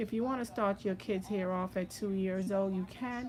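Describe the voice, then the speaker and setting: Soft-spoken, a woman talks at a moderate pace and a medium pitch. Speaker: loctician. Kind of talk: tutorial.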